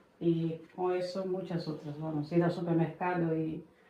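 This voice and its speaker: A woman speaks with monotone, flat intonation. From Brazil, Bahia. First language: Portuguese (speaking Spanish). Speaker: immigrant mother. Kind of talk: podcast interview.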